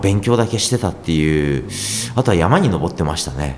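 A man's voice with very wide pitch swings, in audible room echo amid noticeable background noise. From Japan, moved around (born Yokohama). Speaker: copywriter and author. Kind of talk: interview.

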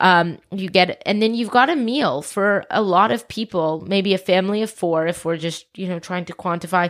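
A woman's ordinary speaking voice at medium pitch, ordinary pitch variation, moderate pace and hardly any pauses, on a very clean recording with a silent background. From US South, Atlanta. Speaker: private chef and food activist. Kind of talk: casual interview. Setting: in a home den, on a couch.

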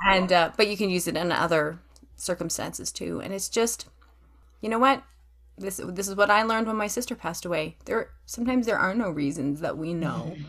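Vocal fry in a Canadian accent, at a fairly quick pace with ordinary pitch variation. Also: woman, medium pitch for a woman. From Western Canada. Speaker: author and homeschooling mother. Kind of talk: casual interview chat.

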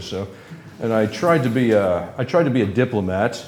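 There is audible room echo around a man speaking with an American accent. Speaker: former secret service agent and chemical weapons expert. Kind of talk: live interview. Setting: stage with audience.

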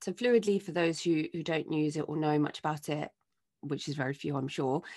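Against a quiet background, a woman with a fairly low voice speaks at a moderate pace in an enthusiastic tone. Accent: British. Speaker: podcast producer. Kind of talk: news roundup.

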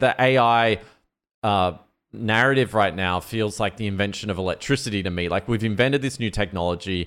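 At a fairly quick pace, a man with a plain, everyday voice speaks at a fairly low pitch with ordinary pitch variation. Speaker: podcast co-host. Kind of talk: casual chat.

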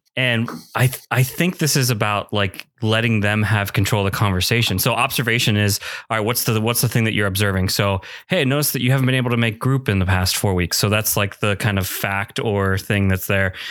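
There's an ordinary speaking voice from a man, fairly low in pitch, at a fairly quick pace. His pitch varies in an ordinary way and his loudness stays very even. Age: 30s. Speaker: podcast host and small groups pastor. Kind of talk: casual chat.

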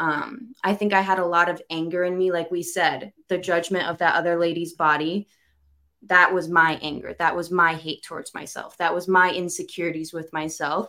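Using an ordinary speaking voice, a woman speaks at a fairly low pitch and a moderate pace, with fairly even intonation. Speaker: entrepreneur, host's daughter. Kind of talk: casual conversation.

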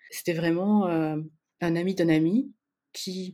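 The recording is very clean, with a silent background. A woman speaks in an unremarkable speaking voice, fairly low in pitch. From France, Spanish parents. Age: 40s. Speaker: listener guest, paramedical worker. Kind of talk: casual interview chat.

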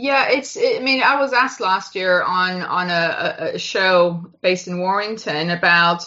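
With an ordinary speaking voice, a woman of medium pitch talks at a fairly slow pace with lively intonation and hardly any pauses. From Toronto, Canada. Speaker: sports fan. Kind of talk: casual chat.

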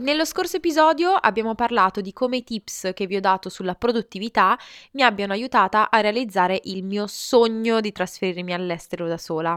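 A woman speaks at a fairly quick pace in an ordinary speaking voice with lively intonation, on a very clean recording with a silent background. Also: fairly high pitch for a woman, dry, close sound with no echo. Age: 20s. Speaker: podcast host. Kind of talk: motivational monologue.

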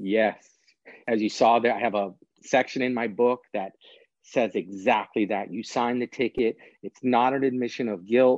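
Recorded with a dry, close sound and no echo, a man with an ordinary speaking voice and medium pitch talks at a moderate pace with fairly even intonation. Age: 40s. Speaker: prosecutor and author. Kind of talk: interview.

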